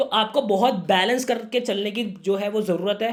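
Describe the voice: With ordinary pitch variation, a man's voice sits at a high pitch. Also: moderate pace.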